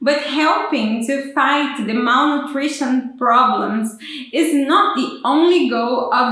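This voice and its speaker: A woman with a strong Brazilian accent speaks in a high voice at a fairly slow pace. Noticeable background noise runs behind her. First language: Portuguese. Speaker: PhD student. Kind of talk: explainer vlog. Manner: halting, with fillers.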